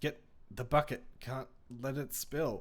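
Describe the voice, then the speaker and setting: A man puts on a character voice that is wheezy and gruff at a medium pitch. He speaks at a fairly slow pace. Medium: read story. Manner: gruff, stubborn.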